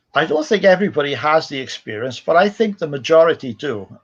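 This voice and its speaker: Music plays in the background. The speaker moves at a moderate pace with lively intonation. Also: man. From Wales. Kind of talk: interview.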